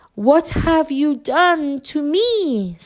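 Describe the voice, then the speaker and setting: A put-on character voice, female-sounding and high in pitch, carries the delivery. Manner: squealing.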